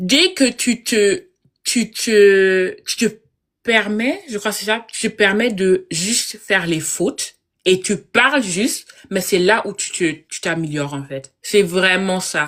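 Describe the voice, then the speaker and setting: A very slow woman's voice at medium pitch, with ordinary pitch variation and big swings in loudness. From Germany, Congolese family. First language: German and Lingala (speaking French). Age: 20s. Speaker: IT consultant. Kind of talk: live interview. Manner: halting, many fillers.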